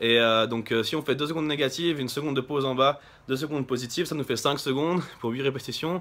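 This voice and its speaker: Speaking at a very fast pace, a man with a fairly high pitch keeps his intonation fairly even. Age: 20s. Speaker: bodybuilder. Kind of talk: vlog. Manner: halting.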